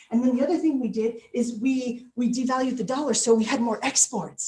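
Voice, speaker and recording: Speaking at a fairly quick clip, a woman with an American accent sounds animated. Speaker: motivational speaker. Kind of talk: keynote speech. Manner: fast.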